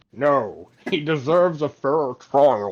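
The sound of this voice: Using a put-on character voice, a man speaks at a fairly high pitch and a very slow pace.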